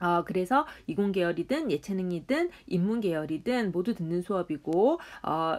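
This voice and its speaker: Her words come at a fairly slow pace. This woman's pitch swings very widely. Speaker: university statistics professor. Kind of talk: lecture. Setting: recorded online lecture.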